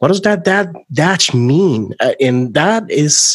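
A man with a Spanish accent, very slow pace and lively intonation. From Puerto Rico. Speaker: podcast host. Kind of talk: interview conversation.

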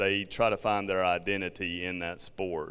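In a very clean recording with a silent background, a man with a Southern accent and a fairly low pitch speaks at a moderate pace in a monotone, flat intonation. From South Georgia, US South. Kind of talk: talk to parents group.

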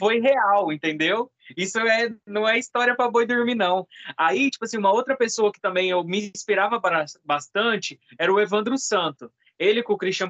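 Bright and sharp in tone, a man speaks with a high pitch and lively intonation. His moderate-paced delivery is captured with a dry, close sound with no echo. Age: 20s. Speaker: podcast co-host, video producer. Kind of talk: casual chat.

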